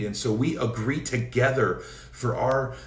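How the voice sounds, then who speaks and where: A male voice with audible room echo. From US Pacific Northwest, Seattle area. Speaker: evangelist preacher; minister. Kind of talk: informal preaching; prayer and exhortation livestream. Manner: hesitant fillers. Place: home room. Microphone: phone near.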